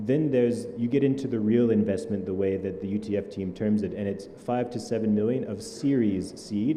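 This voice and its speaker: Amid audible room echo, a man speaks at a fairly low pitch with fairly even intonation. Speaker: startup ecosystem leader. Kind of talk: panel discussion.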